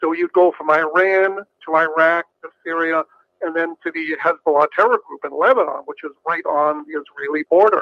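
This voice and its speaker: Pitch shifts in an ordinary way. The speed of delivery is moderate. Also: man. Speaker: best-selling author and commentator. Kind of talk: phone interview, explanatory commentary. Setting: phone call.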